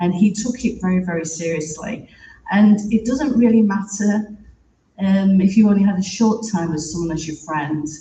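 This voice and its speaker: A woman speaks with a British accent at a moderate pace. Her pitch is medium, with ordinary pitch variation. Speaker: theatre producer and writer. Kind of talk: eulogy.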